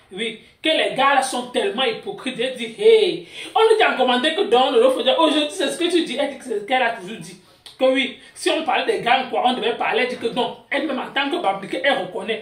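The speaker moves at a fairly quick pace, with audible room echo around the voice. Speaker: gossip channel host. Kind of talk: gossip news commentary. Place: home room. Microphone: phone near.

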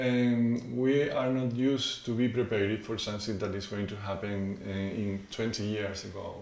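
A man speaks at a moderate pace, his voice carrying audible room echo. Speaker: university geography professor. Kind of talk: interview answer. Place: office.

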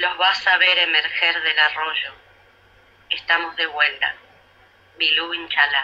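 Speaking at a very slow pace with long, frequent pauses, a woman with a Rioplatense accent keeps a fairly low pitch, monotone, flat intonation and very even loudness. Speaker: radio co-host. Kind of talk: radio interview. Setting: radio, remote.

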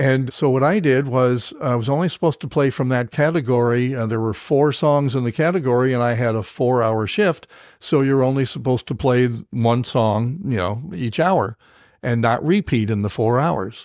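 A man speaks at a moderate pace in a medium pitch, with ordinary pitch variation and a plain, everyday voice. The recording is very clean, with a silent background. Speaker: veteran radio broadcaster and podcast host. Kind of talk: interview answer, storytelling.

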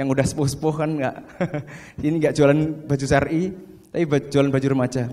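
Talking at a fairly quick pace, a man with a fairly high pitch and a dark, mellow tone keeps a monotone, flat intonation. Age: 30s. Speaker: fashion business owner. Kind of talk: seminar talk. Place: hall. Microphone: handheld.

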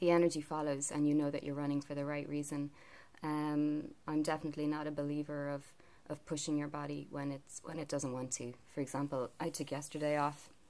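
A woman's very deep, low voice, dark and mellow in tone, with monotone, flat intonation. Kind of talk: casual vlog chat. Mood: calm, reflective. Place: home room. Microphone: phone near.

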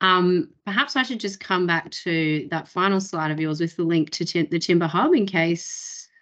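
Speaking in an Australian accent, a woman has a fairly low pitch with ordinary variation. Her pace is moderate and the background is quiet. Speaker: webinar host. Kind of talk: webinar presentation. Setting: video call. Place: home room. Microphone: video call.

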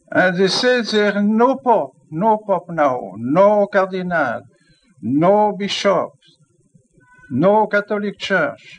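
A man with a non-native accent speaks very slowly in a high pitch. His intonation is lively, while his loudness stays very even. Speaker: archbishop. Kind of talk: sermon.

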